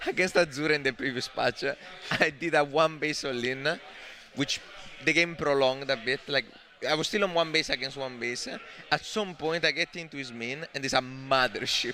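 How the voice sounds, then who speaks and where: With a strong Italian accent and an animated tone, a man speaks in a fairly high pitch, leaving long, frequent pauses over noticeable background noise. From Italy. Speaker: esports commentator. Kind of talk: live commentary.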